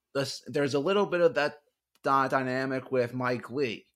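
In a very clean recording with a silent background, a man with an ordinary speaking voice talks at medium pitch and a moderate pace. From North Carolina (Charlotte), born in New Orleans. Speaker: election analyst. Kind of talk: interview.

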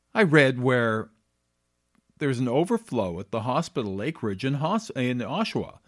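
Speaking at a moderate pace in a medium pitch, a man with a Canadian accent has an unremarkable speaking voice. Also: lively intonation. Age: 50s. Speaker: podcast host. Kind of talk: solo monologue podcast.

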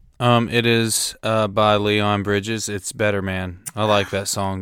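A man with a Southern US accent, fairly low in pitch, at a fairly slow pace with hardly any pauses and monotone, flat intonation, on a very clean recording with a silent background. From Tennessee, US South. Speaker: host's boyfriend. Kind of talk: casual chat.

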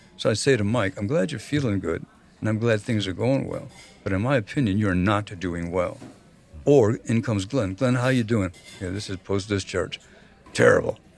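A man speaks at a moderate pace in a fairly low voice with ordinary pitch variation, with music playing in the background. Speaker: recovering alcoholic and therapist. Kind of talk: casual chat.

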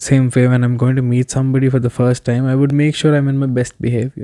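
A man speaks in a dark, mellow tone with monotone, flat intonation. The sound is dry and close, with no echo. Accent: Telugu. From South India. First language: Telugu. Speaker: podcast guest. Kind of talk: casual chat.

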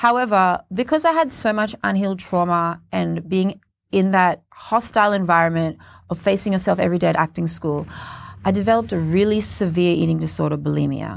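A woman talks at a fairly quick pace. The recording is very clean and the background silent. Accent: Australian. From Australia, Cairns (Queensland). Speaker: spoken word poet and performer. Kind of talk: interview. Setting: studio.

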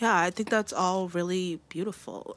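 This woman has an ordinary speaking voice with an American accent, pitched in the medium range with ordinary pitch variation. The recording is very clean, the background silent. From greater New York area. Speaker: podcast host. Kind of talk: casual interview.

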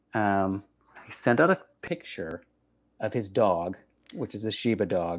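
Speaking at a fairly slow pace with long, frequent pauses, a man with an American accent has a fairly low pitch. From Texas. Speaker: podcast host.

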